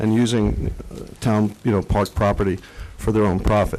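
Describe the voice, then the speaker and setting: A man with an American accent talks at a fairly quick pace in a fairly low voice. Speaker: resident speaking for a nonprofit sports club. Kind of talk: public comment at council meeting. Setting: council meeting with PA mic. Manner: loud.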